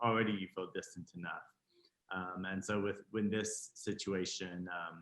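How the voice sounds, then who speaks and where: Bright and sharp in tone, a man speaks at a fairly low pitch and a moderate pace. His intonation is monotone and flat. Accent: American. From Texas. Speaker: fashion designer. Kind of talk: interview.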